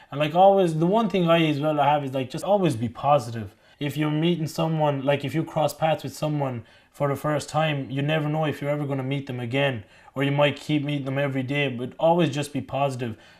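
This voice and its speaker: Very fast speech from a man in a Mayo accent, fairly high in pitch, in a very clean recording with a silent background. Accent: Irish, County Mayo. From Pakistan. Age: 20s. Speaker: college student. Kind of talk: interview answer.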